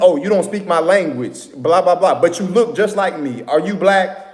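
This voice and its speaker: Heard over noticeable background noise, a man with a high voice speaks with ordinary pitch variation. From Atlanta, Georgia, US. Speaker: livestream host. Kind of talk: casual livestream talk. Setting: live stream with viewers.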